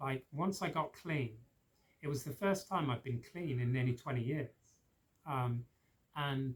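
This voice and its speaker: The speaker has a southern English accent. The voice is somewhat breathy. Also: man. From England, Oxford. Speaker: spiritual practitioner, recovering addict. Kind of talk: personal testimony. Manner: hesitant, many fillers.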